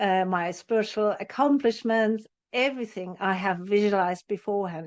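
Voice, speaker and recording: A plain, everyday voice at a moderate pace, with ordinary pitch variation and a quiet background. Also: woman. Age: 60s. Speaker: spiritual teacher and psychotherapist. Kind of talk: interview.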